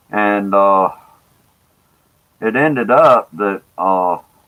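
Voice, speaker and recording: A man's fairly low voice with a Mississippi accent and ordinary pitch variation. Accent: Southern US (Mississippi). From US South, Jackson, Mississippi. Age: 60s. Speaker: livestreamer, former planetarium presenter. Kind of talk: casual chat. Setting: live stream. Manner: halting, many filler words.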